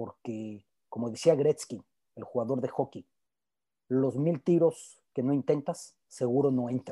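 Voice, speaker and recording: A man speaks at a fairly slow pace. The sound is dry and close with no echo. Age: 40s. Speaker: sports journalist. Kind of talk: panel discussion.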